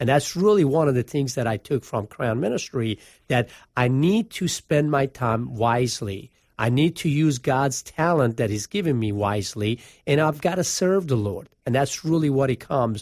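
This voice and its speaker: A moderate pace in a Persian accent, dry and close with no echo, on a very clean recording with a silent background. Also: man, medium pitch for a man. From Iran. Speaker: financial advisor. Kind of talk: casual chat. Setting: studio.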